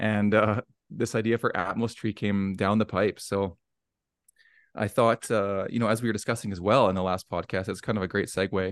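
A man with a Canadian accent speaks in a fairly low voice. His delivery is monotone and flat, at a moderate pace. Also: quiet background. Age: 40s. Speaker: arborist and nonprofit founder. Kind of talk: podcast interview.

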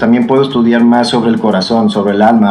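A man with a Mexican accent speaks at a medium pitch. Room echo and noticeable background noise can be heard. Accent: Mexican Spanish (Jalisco). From Mexico, Jalisco (Tepatitlán). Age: 30s. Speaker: singer and performer. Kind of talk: casual interview chat.

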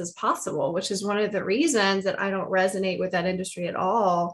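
A woman with an American accent talks at a very fast pace, her medium-pitched voice fairly even in intonation. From US South. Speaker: podcast host and financial professional. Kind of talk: interview.

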